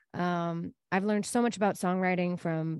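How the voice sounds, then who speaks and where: A woman with a normal speaking voice and fairly even intonation, against a quiet background. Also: dry, close sound with no echo. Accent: American. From Texas, Dallas area. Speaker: singer-songwriter. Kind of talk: interview.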